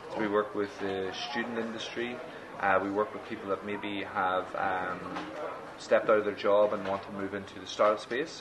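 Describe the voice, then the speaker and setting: A man's fairly low voice with an Irish accent and fairly even intonation at a moderate pace, with noticeable background noise and audible room echo. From Ireland. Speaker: startup accelerator executive. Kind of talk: interview.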